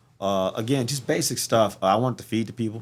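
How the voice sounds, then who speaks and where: With an American accent, a man talks in an unremarkable speaking voice, fairly low in pitch and with ordinary pitch variation. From St. Louis, Missouri. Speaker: military veteran and community organizer. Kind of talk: casual chat.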